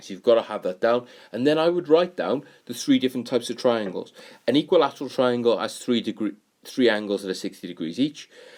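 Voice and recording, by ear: A man's medium-pitched, slightly mellow voice with lively intonation at a fairly quick pace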